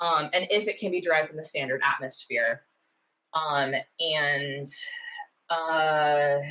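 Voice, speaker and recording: Speaking at a fairly slow pace with long, frequent pauses, a woman with a slight Oklahoma accent has a very deep, low pitch, a bright, sharp tone and fairly even intonation. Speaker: meteorologist, science YouTuber. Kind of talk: casual reaction commentary. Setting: home office. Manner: many fillers (um, uh, like).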